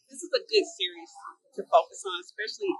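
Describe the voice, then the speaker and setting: In a dry, close sound with no echo, a woman speaks in a high-pitched, raised, projected voice with very wide pitch swings. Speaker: fashion vlogger. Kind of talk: casual talk to camera.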